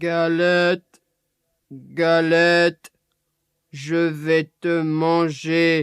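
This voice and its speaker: In a put-on character voice, a man growls at a high pitch and a very slow pace, with monotone, flat intonation and long, frequent pauses. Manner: growling.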